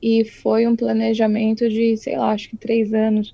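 Her voice, a woman's, is fairly high in pitch, somewhat breathy and dark, mellow in tone. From Brazil, São Paulo state (Itu). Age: 20s. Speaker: illustrator. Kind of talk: casual interview.

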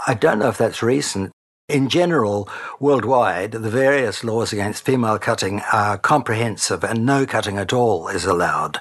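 This man has a New Zealand accent. His pitch varies in an ordinary way. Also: medium pitch for a man, moderate pace. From New Zealand, Christchurch. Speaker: retired broadcaster and intactivist advocate. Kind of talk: interview.

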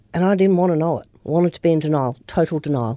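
Against a quiet background, a woman speaks in a fairly low pitch with a dark, mellow tone. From Australia, Upper Murray and Melbourne. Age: 50s. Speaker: recovering alcoholic, business owner. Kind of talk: interview testimony.

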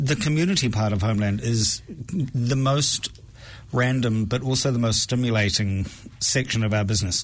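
With a New Zealand accent, a man talks at a fairly quick pace and medium pitch, his loudness very even. His pitch varies ordinarily, and his pauses are long and frequent. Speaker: food project co-founder. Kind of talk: casual interview chat. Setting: radio studio.

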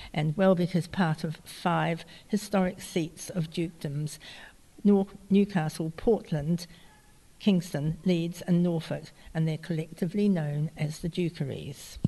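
Fairly slow and somewhat breathy, a woman speaks in a fairly low pitch with a dark, mellow tone and fairly even intonation. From New Zealand, early childhood in Yorkshire, England. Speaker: artist and gardener. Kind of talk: interview.

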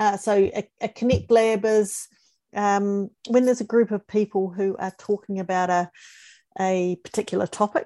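A woman with a New Zealand accent speaks at medium pitch in a dark, mellow tone with monotone, flat intonation, against a quiet background. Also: moderate pace, dry, close sound with no echo. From New Zealand, Christchurch. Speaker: futurist and former school principal. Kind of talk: interview.

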